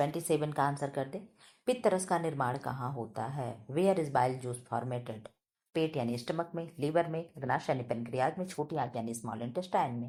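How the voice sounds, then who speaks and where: A woman speaks in a very deep, low voice. Her pitch varies in an ordinary way. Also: moderate pace. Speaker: teacher. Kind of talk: exam prep tutorial. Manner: loud.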